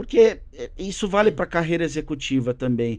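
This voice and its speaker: A man's voice against a quiet background. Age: 40s. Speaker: business executive and drummer; podcast guest. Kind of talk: casual interview chat. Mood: relaxed, conversational. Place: studio. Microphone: studio mic.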